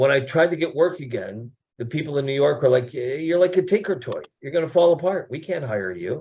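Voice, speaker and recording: A man's somewhat breathy voice, fairly high in pitch, with lively intonation at a fairly quick pace. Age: 60s. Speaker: actor and producer. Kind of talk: casual chat.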